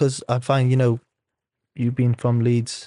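Speaking at a fairly quick pace and a medium pitch, a man has a dark, mellow tone, recorded with a dry, close sound with no echo and a quiet background. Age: 20s. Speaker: rugby league player. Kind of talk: casual chat. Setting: studio.

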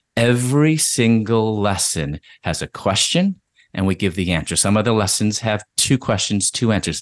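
In a plain, everyday voice, a man with an American accent talks at a fairly low pitch, the sound dry and close with no echo over a quiet background. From US Midwest, Chicago. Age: 50s. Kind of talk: interview conversation.

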